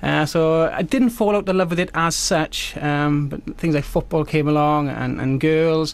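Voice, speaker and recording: At a moderate pace, a man's fairly high pitch shows ordinary pitch variation. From South Wales. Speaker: magician. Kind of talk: radio interview.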